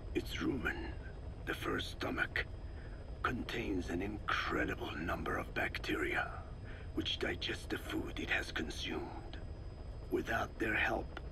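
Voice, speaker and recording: Over loud background noise, a man whispers in a put-on character voice at a fairly slow pace. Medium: machinima. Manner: formal, deliberate, professorial.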